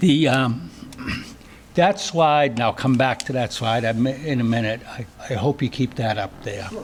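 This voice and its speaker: The speaker has a Boston accent. The pace is fairly slow. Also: man, medium pitch for a man, ordinary pitch variation. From Boston area, US. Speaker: trail crew leader and hostel operator. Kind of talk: acceptance speech.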